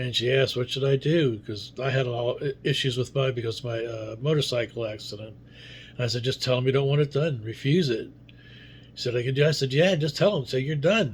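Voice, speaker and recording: Very fast, somewhat breathy speech from a man at medium pitch. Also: ordinary pitch variation. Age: 70s. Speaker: video blogger. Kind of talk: casual monologue. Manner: halting, with many fillers.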